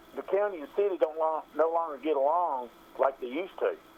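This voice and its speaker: This man has a fairly high pitch and an American accent. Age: 60s. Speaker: caller, local business owner. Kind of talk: call-in political opinion. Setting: phone call.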